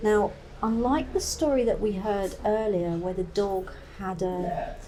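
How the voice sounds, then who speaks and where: With noticeable background noise, a woman talks with lively intonation in an East Anglian accent. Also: medium pitch for a woman, fairly slow pace. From East Anglia, England. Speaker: folklore presenter. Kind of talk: documentary narration to camera.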